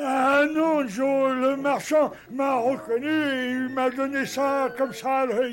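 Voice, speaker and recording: In a cartoonish character voice, a man speaks fairly slowly at an extremely high pitch. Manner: slow, simple, naive.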